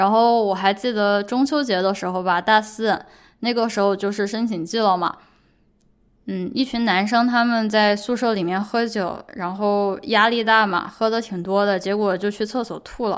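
At a moderate pace and medium pitch, a woman with an ordinary speaking voice talks with fairly even intonation on a very clean recording with a silent background. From China. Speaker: podcast host; PhD student. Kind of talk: solo monologue podcast. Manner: casual, conversational.

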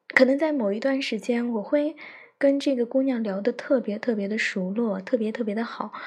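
With ordinary pitch variation, the woman talks at a moderate pace in a high register. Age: 20s. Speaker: podcaster, teacher. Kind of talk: personal monologue. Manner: halting, many fillers. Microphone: phone mic.

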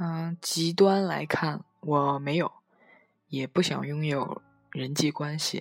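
Very slowly, a woman talks at a very deep, low pitch with fairly even intonation, the sound dry and close with no echo. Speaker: podcaster. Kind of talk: reading aloud. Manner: expressive.

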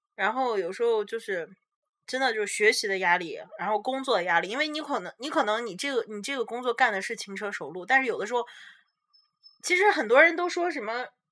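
Her voice moves through very wide pitch swings and big swings in loudness as this woman speaks at a fairly quick pace. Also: fairly high pitch for a woman. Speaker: podcast host, international student. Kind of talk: casual chat.

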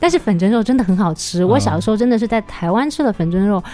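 Delivered at a very fast pace, the speech has a lively intonation. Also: woman. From Taiwan, Taipei. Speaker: guest, Taiwanese food expert. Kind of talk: casual chat.

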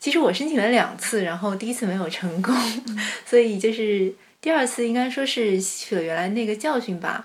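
Noticeable noise sits behind the recording. Over it, a woman talks with lively intonation. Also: fairly high pitch for a woman, fairly quick pace. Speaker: master's graduate. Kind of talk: casual chat.

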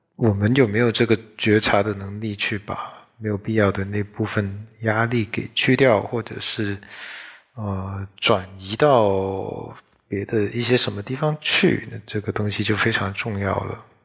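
At a fairly slow pace, a man talks in a fairly low, somewhat breathy voice. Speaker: solo podcaster, office worker. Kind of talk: casual solo monologue. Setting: late-night solo recording. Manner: halting, many fillers.

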